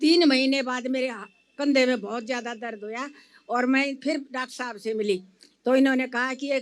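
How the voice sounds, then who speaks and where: At a moderate pace, a woman with a high pitch speaks using fairly even intonation. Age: 80s+. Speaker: patient. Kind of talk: testimony.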